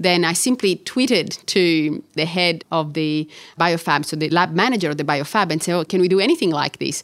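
A woman's fairly low-pitched voice with an Italian accent, at a moderate pace. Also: ordinary pitch variation, very clean recording, silent background. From Catania, Sicily, Italy. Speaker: orthopaedic surgeon and researcher. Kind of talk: interview conversation.

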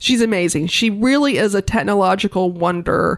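A woman talks at a moderate pace and medium pitch in an unremarkable speaking voice. The recording is very clean, with a silent background. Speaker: museum director. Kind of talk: casual interview.

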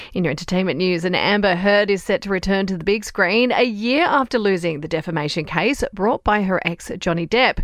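The speech moves at a fairly quick pace with hardly any pauses. Pitch varies in an ordinary way, and background noise is noticeable. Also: woman, medium pitch for a woman. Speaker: news podcast presenter. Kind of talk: formal newsreading, scripted bulletin. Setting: studio. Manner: brisk, even and authoritative; measured and businesslike.

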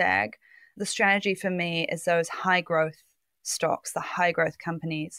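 A woman with a New Zealand accent is heard in a very clean recording with a silent background. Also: dry, close sound with no echo. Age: 30s. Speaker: finance journalist. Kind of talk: interview.

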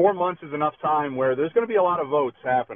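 A man is speaking. His intonation is lively. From Southern Tier, western New York. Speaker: congressional candidate, local party official. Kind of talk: radio interview, political pitch.

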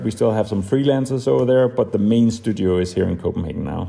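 A man speaks with a Danish accent and a dark, mellow tone. His pitch variation is ordinary. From Denmark. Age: 40s. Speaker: designer and entrepreneur. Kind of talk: interview. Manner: hesitant, many fillers.

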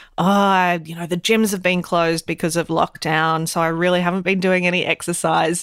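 In an Australian accent, a woman speaks at a moderate pace. The recording is very clean with a silent background, and the sound is dry and close, with no echo. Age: 40s. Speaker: podcast co-host and GP. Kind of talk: casual chat.

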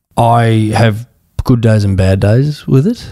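At a very slow pace, a man of medium pitch speaks with an Australian accent. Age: 30s. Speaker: charity CEO and former footballer. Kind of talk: interview.

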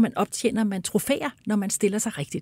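Her voice is fairly high-pitched and somewhat breathy, moving at a moderate pace. The recording is very clean with a silent background and a dry, close sound with no echo. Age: 60s. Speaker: hearing researcher and speech therapist. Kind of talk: interview.

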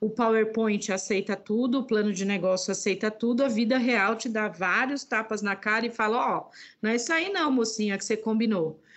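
A woman with a plain, everyday voice and a fairly high pitch speaks at a moderate pace with hardly any pauses, ordinary pitch variation and big swings in loudness. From Brazil, Northeast (sertão de Alagoas). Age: 50s. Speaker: entrepreneur and women's business network founder. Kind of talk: interview conversation.

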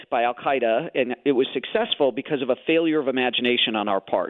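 Talking at a fairly quick pace with an American accent, a man has an ordinary speaking voice, a fairly high pitch and ordinary pitch variation. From Chicago, US Midwest. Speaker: thriller novelist. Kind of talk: radio interview.

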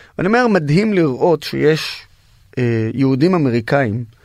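With an Arabic accent, a man speaks at a fairly slow pace in a fairly high pitch with lively intonation, on a very clean recording with a silent background. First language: Arabic (speaking Hebrew). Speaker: activist and social media influencer, wounded army veteran. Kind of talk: interview.

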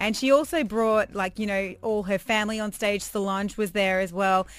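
A woman with an Australian accent speaks at a moderate pace and medium pitch. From Perth, Australia. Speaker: radio host. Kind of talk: casual chat.

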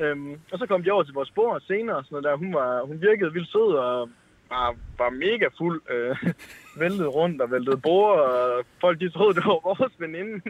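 Speaking with a North Jutland accent, a man uses a fairly high pitch and lively intonation at a moderate pace. Noticeable background noise can be heard. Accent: North Jutlandic dialect. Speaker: caller. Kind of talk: anecdote told on call-in show.

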